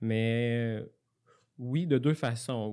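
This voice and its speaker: Fairly even intonation in a Quebec accent, on a very clean recording with a silent background. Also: man. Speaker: software developer, former student. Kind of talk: interview. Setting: studio. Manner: halting.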